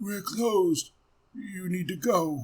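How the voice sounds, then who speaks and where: A man's put-on character voice, high-pitched and raspy, with lively intonation. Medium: read story. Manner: clipped, broken phrasing.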